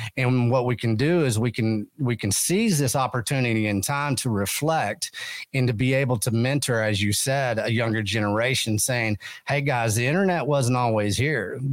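A man with a West Texas accent, medium-pitched, with ordinary pitch variation and very even loudness, on a very clean recording over a silent background. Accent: West Texas drawl. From West Texas (Texas panhandle). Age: 50s. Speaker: podcast host. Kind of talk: casual interview chat.

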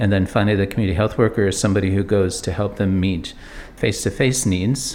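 A man with an unremarkable speaking voice talks at a fairly low pitch. His pace is fairly quick. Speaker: medical director. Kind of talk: interview soundbite in news report.

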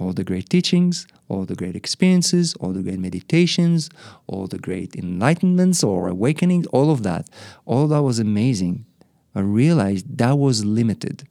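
In an Israeli accent, a man at medium pitch speaks at a moderate pace with a dark, mellow tone and very wide pitch swings. The recording is very clean, with a silent background. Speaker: spiritual teacher and monk. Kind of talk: interview.

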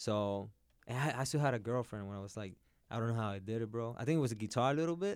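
A man with a Puerto Rican accent talks at a very fast pace in a medium pitch with ordinary pitch variation. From Puerto Rico (Carolina). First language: Spanish. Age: 30s. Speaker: jiu-jitsu and MMA practitioner. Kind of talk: casual chat.

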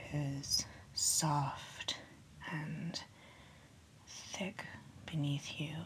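A whisper comes through amid noticeable background noise. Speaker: podcast host. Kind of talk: guided meditation. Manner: slow, soothing, hushed, sleepy bedtime pacing; gentle, calming, friendly.

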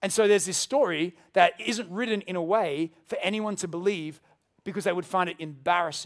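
A man with an Australian accent, high in pitch, at a moderate pace, with ordinary pitch variation and big swings in loudness. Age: 30s. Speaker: pastor. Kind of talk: sermon. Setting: church.

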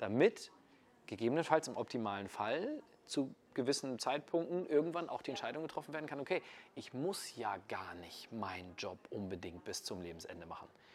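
This man's voice shows vocal fry and very wide pitch swings. His loudness rises and falls in big swings. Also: medium pitch for a man, moderate pace. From northern Germany, Kiel. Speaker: network marketer. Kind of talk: casual interview. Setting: in person in Munich.

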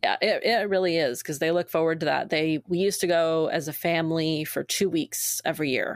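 A woman with an American accent talks at a fairly quick pace in a plain, everyday voice, fairly low in pitch, with fairly even intonation and very even loudness. The recording is very clean, dry and close, with no echo and a silent background. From Maine, US. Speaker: nonprofit staff member and co-founder. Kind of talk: casual interview.

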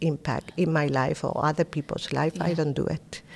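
With a Spanish accent, a woman speaks at a very deep, low pitch with vocal fry and ordinary pitch variation. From Spain. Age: 50s. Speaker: philanthropist. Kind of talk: interview.

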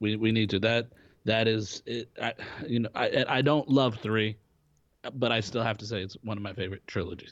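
The speaker has an unremarkable speaking voice. The pace is moderate and the intonation fairly even. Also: man, medium pitch for a man. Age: 20s. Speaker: podcast co-host, actor. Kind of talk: casual chat.

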